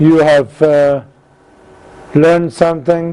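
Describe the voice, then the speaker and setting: Monotone and flat in intonation, this man speaks with a non-native accent and a fairly high pitch. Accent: non-native accent, self-described as very bad. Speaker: engineering course instructor. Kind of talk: lecture.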